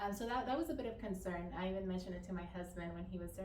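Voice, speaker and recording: A woman with a Spanish accent talks over noticeable background noise, with audible room echo. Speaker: interviewee sharing community experience. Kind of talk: interview testimony. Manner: hesitant, many fillers and repetitions.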